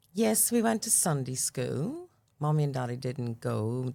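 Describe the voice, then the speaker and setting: A woman with a Northern Irish accent, lively intonation and a fairly slow pace. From Northern Ireland, Belfast. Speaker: church member sharing testimony. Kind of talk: testimony interview.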